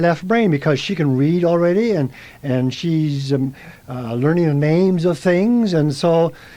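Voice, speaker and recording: Here a man talks at a moderate pace with lively intonation. His pitch is high. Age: 70s. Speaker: artist and retired art teacher. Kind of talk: radio interview. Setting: radio studio. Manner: halting, many fillers and repeats.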